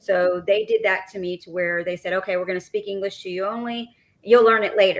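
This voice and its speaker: A woman with a Texas accent speaks fairly quickly at a medium pitch, monotone and flat, with big swings in loudness. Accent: Texas twang. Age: 40s. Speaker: podcast co-host. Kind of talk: casual chat.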